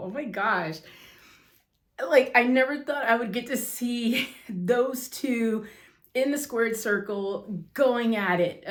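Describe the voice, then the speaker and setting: In a put-on character voice, a woman speaks raspily at a fairly high pitch, going fairly slowly with long, frequent pauses. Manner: excited, awestruck.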